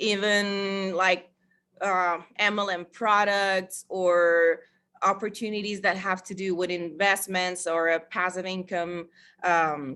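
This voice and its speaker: A woman's bright, sharp voice with a Spanish accent, monotone and flat, at a very slow pace. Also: medium pitch for a woman, very clean recording, silent background. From Costa Rica. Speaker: network marketer. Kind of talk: sales pitch. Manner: halting.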